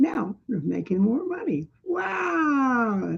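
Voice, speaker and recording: A woman's somewhat breathy voice. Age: 70s. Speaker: resident making a complaint video. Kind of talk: personal testimony. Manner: rambling, repetitive filler.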